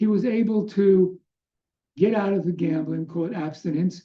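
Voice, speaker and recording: Speaking with an American accent, a man with a high pitch talks at a fairly slow pace with ordinary pitch variation. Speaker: doctor giving a presentation on addiction. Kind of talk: lecture. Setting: webinar with screen sharing.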